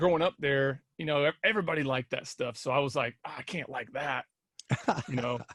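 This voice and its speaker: Recorded with a dry, close sound and no echo, the speaker talks at a fairly quick pace in an American accent with ordinary pitch variation. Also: man, fairly high pitch for a man. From Indiana (Kokomo). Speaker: musician. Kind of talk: casual interview.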